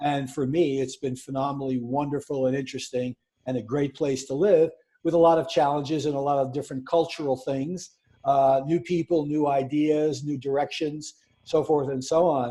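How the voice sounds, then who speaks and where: Speaking at a moderate pace with a New York accent, a man has a fairly high pitch, a dark, mellow tone and fairly even intonation. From New York City. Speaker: podcast co-host. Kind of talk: casual chat.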